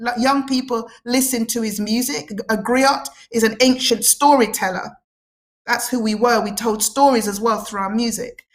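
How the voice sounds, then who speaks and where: In a passionate, animated tone, a woman speaks at a moderate pace. Her pitch is fairly high, with ordinary variation. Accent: Cockney. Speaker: guest speaker on Afrocentric and spiritual topics. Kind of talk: radio talk show interview.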